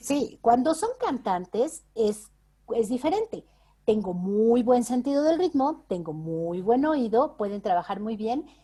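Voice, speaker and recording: Speaking at a very slow pace, a woman with a fairly high pitch and a dark, mellow tone makes very wide pitch swings. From Mexico. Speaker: voice actress and dubbing director. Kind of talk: interview answer.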